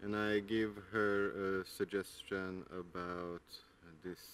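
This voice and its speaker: A man talks in a very deep, low pitch with fairly even intonation and a dry sound with no echo. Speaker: garden vlogger. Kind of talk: casual vlog chat. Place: garden. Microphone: phone near.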